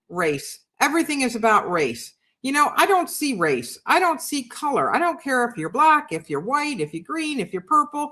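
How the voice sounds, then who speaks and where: A woman projects a raised voice in a high pitch with a bright, sharp tone, swinging her pitch very widely and hardly pausing at all. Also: moderate pace, quiet background. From New York City. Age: 60s. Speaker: livestream host and writer. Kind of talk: casual chat. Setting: live video stream. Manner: animated.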